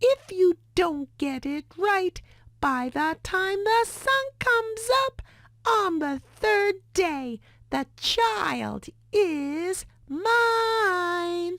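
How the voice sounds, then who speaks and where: Putting on a squeaky character voice, a woman goes to an extremely high pitch. Her pace is very slow. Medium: read story. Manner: sly, gleeful.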